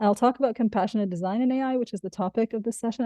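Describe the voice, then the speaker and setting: A woman with an Arabic accent. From Egypt. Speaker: professor and keynote speaker. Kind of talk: conference keynote.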